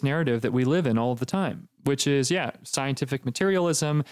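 A man's unremarkable speaking voice at a fairly high pitch, with ordinary pitch variation and a moderate pace, in a dry, close sound with no echo. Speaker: podcast host. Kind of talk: casual chat.

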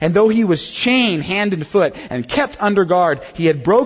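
A natural reading voice is heard here.

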